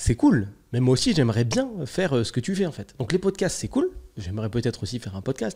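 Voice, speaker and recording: A man talks at a fairly quick pace in a somewhat breathy, dark, mellow voice, his loudness swinging widely, on a very clean recording with a silent background. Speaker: podcast host, entrepreneur and business consultant. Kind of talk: solo podcast monologue. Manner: casual, hesitant with many fillers.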